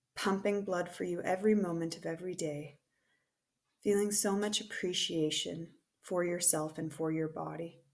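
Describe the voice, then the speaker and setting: A woman with an ordinary speaking voice, fairly low in pitch, at a moderate pace with fairly even intonation. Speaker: teacher. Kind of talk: guided meditation; recorded presentation.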